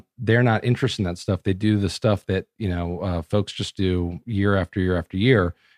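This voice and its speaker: In an unremarkable speaking voice, a man with a fairly low pitch speaks at a moderate pace with fairly even intonation, the sound dry and close with no echo against a quiet background. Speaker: political strategist. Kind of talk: casual interview.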